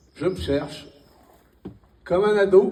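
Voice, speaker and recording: Audible room echo surrounds a man who speaks at a very slow pace with ordinary pitch variation. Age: 60s. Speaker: stand-up comedian. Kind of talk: stand-up. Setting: stage with audience.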